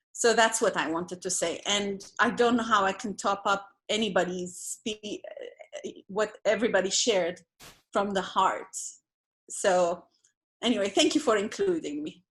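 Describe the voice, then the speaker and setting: A woman with a non-native accent speaks at a moderate pace and a medium pitch, with ordinary pitch variation, long and frequent pauses, and a quiet background. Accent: non-local accent, sounds foreign. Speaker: participant in a spiritual community dialogue. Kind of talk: group video call discussion.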